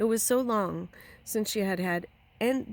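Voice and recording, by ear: In a natural voice, someone reads aloud while the pitch varies in an ordinary way.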